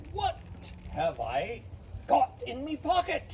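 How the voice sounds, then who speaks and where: A put-on character voice at a fairly slow pace amid clear background noise. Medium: read story.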